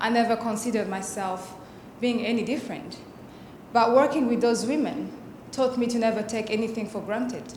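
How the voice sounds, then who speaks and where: Amid noticeable background noise and audible room echo, a woman speaks fairly quickly at a fairly high pitch with ordinary pitch variation. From Burundi. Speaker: fellowship speaker. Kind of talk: presentation speech.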